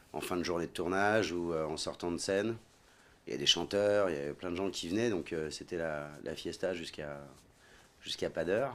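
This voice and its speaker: A man's very deep, low voice at a fairly quick pace, with ordinary pitch variation. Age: 40s. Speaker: actor. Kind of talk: casual chat.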